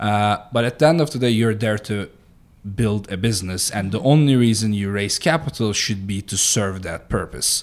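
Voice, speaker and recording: With a Turkish accent, the speaker talks at a moderate pace with ordinary pitch variation, recorded very cleanly over a silent background. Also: man, fairly low pitch for a man. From Turkey, Mediterranean coast. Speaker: startup founder and CEO. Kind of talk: podcast interview.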